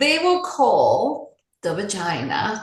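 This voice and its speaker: A woman speaks with a Spanish accent in an animated tone. Audible room echo surrounds her voice. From Puerto Rico. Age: 60s. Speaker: life coach and speaker. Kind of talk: podcast interview.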